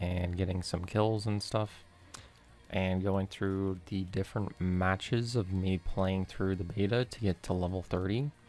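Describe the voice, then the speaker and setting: Music plays in the background as the speaker goes at a fairly slow pace. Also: man. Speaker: gaming YouTuber. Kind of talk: gameplay review voiceover. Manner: flat, low expression.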